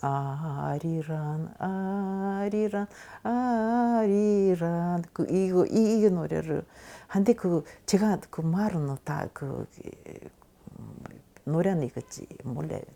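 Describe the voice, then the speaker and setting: A woman's fairly low, dark, mellow voice at a very slow pace, with long, frequent pauses and ordinary pitch variation, in a very clean recording with a silent background. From Tashkent, Uzbekistan. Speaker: Koryo-saram oral history interviewee. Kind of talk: oral history interview answer.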